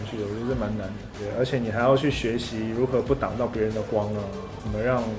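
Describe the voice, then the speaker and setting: Over clear music in the background, a man speaks at a very fast pace with ordinary pitch variation. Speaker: singer and actor. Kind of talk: interview answer. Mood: relaxed, lightly amused. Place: home room.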